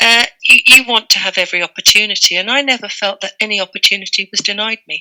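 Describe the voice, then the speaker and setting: Recorded with a dry, close sound and no echo, a woman speaks in an English accent. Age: 60s. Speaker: retired librarian. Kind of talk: interview.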